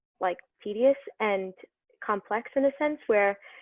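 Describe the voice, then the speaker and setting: Fairly even intonation in a New York accent. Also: woman. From New York City (Brooklyn). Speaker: medical student. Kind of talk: casual chat.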